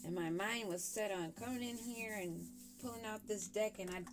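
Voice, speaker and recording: With music in the background, the speaker talks at a moderate pace with fairly even intonation. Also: woman. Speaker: tarot reader. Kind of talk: tarot reading. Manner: casual, chatty.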